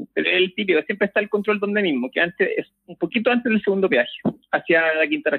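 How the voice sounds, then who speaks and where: Talking at a very fast pace in a Chilean accent, a man uses high pitch and lively intonation. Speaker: podcast co-host. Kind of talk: casual chat. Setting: phone call. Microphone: phone line, breathing audible.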